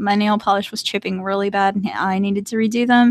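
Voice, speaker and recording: A woman with a North Carolina accent talks at a moderate pace in a medium pitch, with a dry, close sound and no echo. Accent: Southern US (North Carolina), mild. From US, mixed (born Maryland, raised Hawaii and elsewhere). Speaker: artist and video creator. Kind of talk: casual livestream chat. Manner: casual, hesitant with many fillers.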